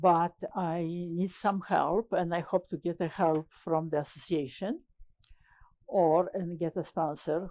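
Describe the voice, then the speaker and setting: Very slow and dark, mellow in tone, a woman speaks with a Polish accent. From Poland. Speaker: landscape architect. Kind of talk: oral history interview. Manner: halting, many hesitations.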